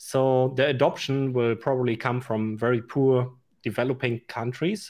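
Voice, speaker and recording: A man with a German accent talks at a fairly slow pace in a medium pitch with fairly even intonation, the background quiet. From Germany. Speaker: YouTuber. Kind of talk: panel discussion. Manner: halting.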